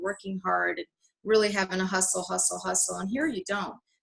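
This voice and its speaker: A woman speaks at a fairly quick pace. Hers is an unremarkable speaking voice. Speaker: network marketing team trainer. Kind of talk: training call. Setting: video call.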